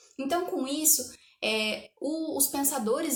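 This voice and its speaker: A woman with a high pitch is heard against audible room echo. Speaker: history student teacher. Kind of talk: lecture.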